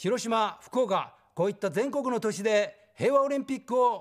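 A man speaks against a quiet background. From Tokyo. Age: 60s. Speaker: political candidate; election candidate. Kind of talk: campaign speech. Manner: formal. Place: studio. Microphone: lapel.

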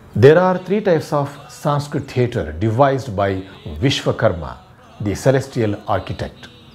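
The speech runs at a moderate pace with faint music in the background. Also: man. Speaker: theatre educator. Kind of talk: lecture.

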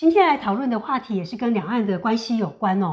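A woman talks at a fairly quick pace in a fairly high voice. The background is quiet. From Taiwan. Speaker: co-host. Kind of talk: political commentary chat. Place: home room. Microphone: lapel.

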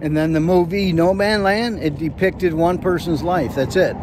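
A man talks in a dry, echo-free sound with noticeable background noise. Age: 60s. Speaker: van-dwelling nomad, YouTuber. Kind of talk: casual movie review to camera. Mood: opinionated, mildly critical. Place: open country. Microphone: lapel.

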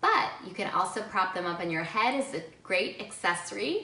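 A woman talks at a moderate pace with a fairly low pitch. Room echo is audible. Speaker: presenter. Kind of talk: tutorial. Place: home room.

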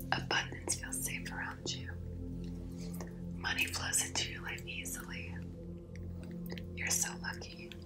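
Over loud background music, a woman speaks at a fairly slow pace with long, frequent pauses. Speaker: reiki healer. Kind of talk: ASMR affirmations. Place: home room.

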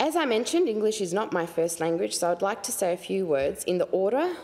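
At a fairly quick pace, a woman's voice makes very wide pitch swings. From Australia. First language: Hungarian. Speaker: newly elected member of parliament. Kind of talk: inaugural speech in parliament. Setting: parliament chamber. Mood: emotional, heartfelt thanks. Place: hall. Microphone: podium.

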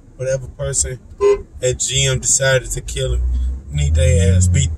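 Noticeable background noise runs under the recording. A man talks at a fairly slow pace. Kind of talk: casual vlog chat. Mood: annoyed, ranting. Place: car. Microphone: phone near.

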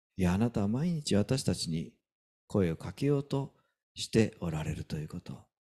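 A man with a Kansai accent speaks at a moderate pace with a fairly low pitch, a dark, mellow tone and very wide pitch swings over a quiet background. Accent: Kansai Japanese. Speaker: pastor. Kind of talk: sermon. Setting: church. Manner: animated. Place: church.

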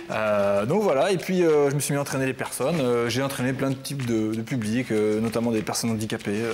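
Light background noise sits behind a man's voice. He talks at a fairly quick pace with ordinary pitch variation. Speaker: personal fitness coach. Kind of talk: TV interview. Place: studio. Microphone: lapel.

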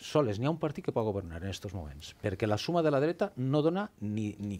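A man with a Valencian accent at a moderate pace, with very wide pitch swings. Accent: Valencian Catalan. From Valencia region. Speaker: politician. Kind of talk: heated debate; debate argument. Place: studio. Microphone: headset.

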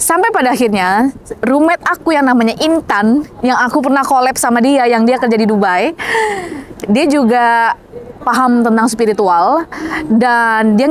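Over light background noise, a woman with a high-pitched voice talks at a moderate pace, with ordinary pitch variation, very even loudness and a dry sound with no echo. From Indonesia. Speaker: manifestation coach and YouTuber; manifestation coach, YouTuber. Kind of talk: vlog-style motivational talk. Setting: outdoors, walking in Istanbul. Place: street. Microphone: lapel.

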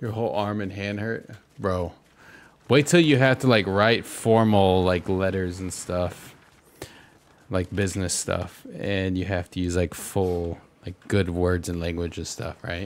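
A man speaks in an animated tone at a fairly slow pace, his very deep, low voice showing ordinary pitch variation over light background noise. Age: 30s. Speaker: Fortnite streamer and pastor; Fortnite streamer, pastor. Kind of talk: casual gaming livestream chat. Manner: casual, animated. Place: home room. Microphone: studio mic.

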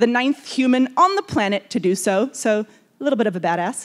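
Over a quiet background, a woman talks at a moderate pace. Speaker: event host introducing a speaker. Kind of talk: speaker introduction at a conference. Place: hall. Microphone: handheld.

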